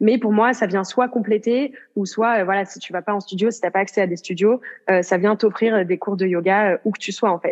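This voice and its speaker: A woman with an unremarkable speaking voice talks at a moderate pace and medium pitch, with fairly even intonation and big swings in loudness. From rural France. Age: 20s. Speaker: yoga entrepreneur, online yoga platform founder. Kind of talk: casual interview.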